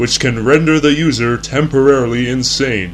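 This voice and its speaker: Music in the background behind a man talking at a moderate pace, medium in pitch. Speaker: narrator of a mock educational film. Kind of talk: vintage educational film narration, deadpan parody.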